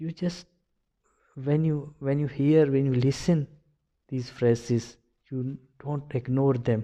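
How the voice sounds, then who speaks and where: With a Pakistani accent, a man speaks fairly slowly in a dark, mellow tone. The background is quiet. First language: Urdu. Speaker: video blogger. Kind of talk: personal commentary monologue. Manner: halting, many fillers and repetitions.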